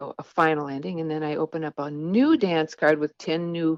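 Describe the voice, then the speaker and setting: This woman's voice is very deep and low in pitch, moving at a moderate pace. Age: 60s. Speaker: author. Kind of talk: interview.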